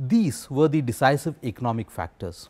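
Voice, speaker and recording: Music plays in the background. A man speaks over it at a moderate pace. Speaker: interviewee. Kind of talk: interview answer. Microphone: lapel.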